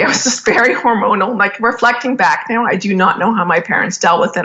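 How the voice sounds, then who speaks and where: Over noticeable background noise, a woman with a Canadian accent talks at a fairly quick pace. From Canada. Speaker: business executive and podcast host. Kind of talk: interview. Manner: casual, filler-heavy speech.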